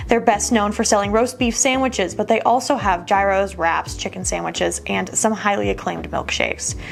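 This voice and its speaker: Over music in the background, a woman talks at a fairly quick pace with hardly any pauses. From US Midwest, Youngstown, Ohio. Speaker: food show presenter. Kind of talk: scripted narration; casual vlog chat.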